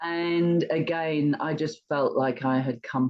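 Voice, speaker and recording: A woman's very deep, low voice in an English accent, with ordinary pitch variation and a very slow pace. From England. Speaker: retired entrepreneur and charity fundraiser. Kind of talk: interview.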